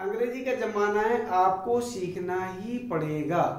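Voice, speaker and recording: A man speaks with a Bundelkhand accent amid audible room echo. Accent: Bundelkhandi Hindi. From Bundelkhand, central India. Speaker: maths teacher, engineer. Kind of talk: motivational talk to camera.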